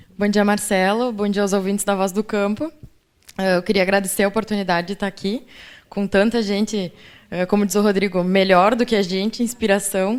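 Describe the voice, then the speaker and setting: This woman's medium-pitched voice moves at a fairly quick pace in a monotone, flat delivery. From Rio Grande do Sul, Brazil (Ijuí). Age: 20s. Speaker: agronomy student. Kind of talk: radio interview.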